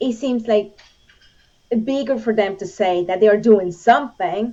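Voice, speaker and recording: A woman speaks with a Spanish accent. Her pitch sits fairly high, with ordinary variation. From Venezuela. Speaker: Olympic shooter and gun rights advocate. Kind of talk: interview conversation.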